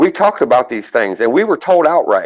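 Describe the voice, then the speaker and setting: An animated tone and lively intonation with a slight Southern accent. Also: man. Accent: slight southern drawl. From Texas. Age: 40s. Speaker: livestream host. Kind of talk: heated debate.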